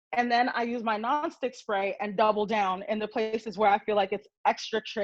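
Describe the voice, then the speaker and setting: An unremarkable speaking voice comes from a woman with an American accent, fairly high in pitch and at a moderate pace. The sound is dry and close with no echo, over a quiet background. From New York. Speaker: marketing director teaching a baking class. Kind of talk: tutorial. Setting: video call.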